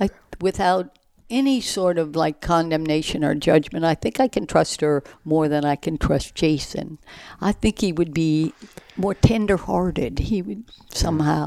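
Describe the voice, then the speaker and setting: Lively intonation runs through this dark, mellow voice. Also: woman, fairly low pitch for a woman, moderate pace, dry, close sound with no echo. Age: 70s. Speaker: retired gardener and mother-in-law of host. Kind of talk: casual chat.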